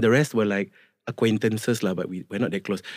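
A man with a Malaysian accent, medium pitch and ordinary pitch variation, in a very clean recording with a silent background and a dry, close sound with no echo. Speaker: singer, guest. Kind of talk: casual interview chat. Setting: studio.

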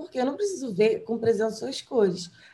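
Fairly high female speech in a dark, mellow tone. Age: 20s. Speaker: fashion stylist and journalist. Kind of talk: casual interview.

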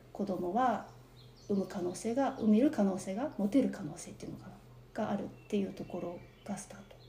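A woman's soft-spoken voice at a fairly quick pace, medium in pitch with ordinary pitch variation, loudness swinging widely, and audible room echo around it. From Japan. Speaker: interview guest. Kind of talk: personal testimony. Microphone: quieter than host.

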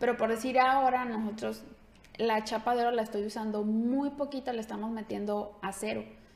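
A woman's fairly high-pitched, monotone, flat delivery at a fairly quick pace amid noticeable background noise. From Mexico, Ciudad Guzmán, Jalisco. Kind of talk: casual interview.

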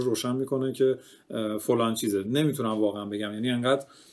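Very fast speech comes from a man whose intonation stays fairly even. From Iran, Kerman. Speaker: graphic designer and painter. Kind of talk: casual chat. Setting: voice chat on Discord.

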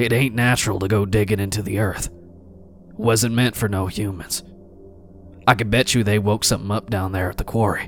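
Over clear music in the background, a man uses a gruff put-on character voice, fairly low-pitched and monotone with flat intonation, at a fairly quick pace. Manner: gruff, stubborn, blunt.

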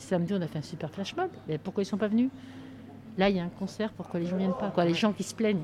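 Noticeable background noise surrounds a woman's voice at medium pitch. She talks at a very fast pace with ordinary pitch variation. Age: 60s. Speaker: retired activist taking part in a theatre occupation. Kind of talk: casual chat.

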